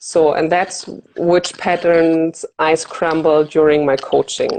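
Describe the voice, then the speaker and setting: A woman with a German accent speaks very slowly in a flat monotone at a fairly low pitch. Her loudness stays very even throughout. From Germany. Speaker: fear of flying coach. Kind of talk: interview.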